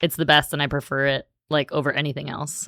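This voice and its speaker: A woman with an American accent, very deep and low in pitch, bright and sharp in tone, on a very clean recording with a silent background. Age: 40s. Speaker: high school Spanish teacher. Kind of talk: casual chat. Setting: school podcast studio. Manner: many fillers like 'like' and 'um'.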